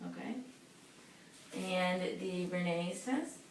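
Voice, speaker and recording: A woman speaks with ordinary pitch variation while noticeable noise runs in the background. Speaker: physician assistant (student) giving a physical exam. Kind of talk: clinical exam roleplay, instructional narration. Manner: calm, matter-of-fact, explaining each step.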